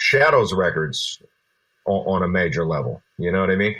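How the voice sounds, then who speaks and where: This man has a plain, everyday voice and an American accent. His pitch sits fairly low, with ordinary variation. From Berkeley, California. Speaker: rapper. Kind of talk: interview.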